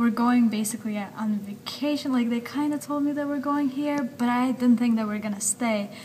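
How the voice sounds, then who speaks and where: A woman with a high-pitched voice and fairly even intonation speaks against noticeable background noise. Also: moderate pace, hardly any pauses. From Russia, then New Jersey/New York from age ten. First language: Russian. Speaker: university student. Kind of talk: interview. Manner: casual, many fillers.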